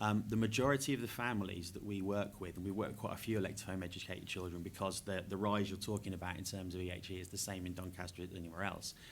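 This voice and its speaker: Amid audible room echo, a man with a very deep, low voice talks very fast with fairly even intonation. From England, Norfolk. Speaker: education charity worker. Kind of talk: panel discussion.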